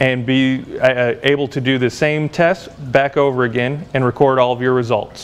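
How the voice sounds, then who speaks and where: Monotone, flat intonation marks a man speaking at a moderate pace. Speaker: lab instructor. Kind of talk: tutorial. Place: workshop.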